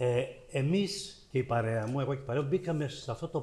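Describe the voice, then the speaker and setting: At a moderate pace, a man talks in a fairly high, somewhat breathy voice with ordinary pitch variation. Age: 70s. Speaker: visual artist, panelist. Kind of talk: public panel discussion.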